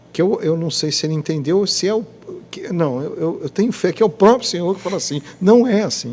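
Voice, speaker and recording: A man's high-pitched voice carries a dark, mellow tone and lively intonation. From Rio de Janeiro state, Brazil (Petrópolis). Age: 60s. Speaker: radio announcer. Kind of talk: podcast interview, religious testimony. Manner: halting, repetitive.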